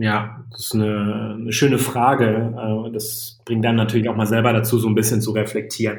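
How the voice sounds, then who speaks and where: Medium in pitch and somewhat breathy, a man speaks in a flat monotone at a moderate pace with hardly any pauses, amid audible room echo. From Germany, Sauerland (Iserlohn area). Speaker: startup founder. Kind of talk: interview.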